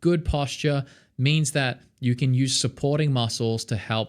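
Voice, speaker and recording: Moderate pace and ordinary pitch variation from a man with an Australian accent on a very clean recording with a silent background. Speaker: singer and vocal coach. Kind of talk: tutorial. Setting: home studio. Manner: casual, filler-heavy.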